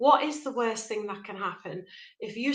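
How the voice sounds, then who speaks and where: Here a woman talks with a Liverpool accent at a moderate pace. Her voice is fairly high, with ordinary pitch variation. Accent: Liverpool (Scouse). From Liverpool, northwest England. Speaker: life coach. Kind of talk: motivational talk. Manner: conversational, direct to camera.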